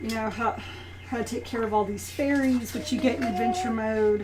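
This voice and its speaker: With long, frequent pauses, a fairly high-pitched woman speaks with ordinary pitch variation over noticeable background noise and audible room echo. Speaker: strategy guide reviewer. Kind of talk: product review. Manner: fast; casual, filler-heavy.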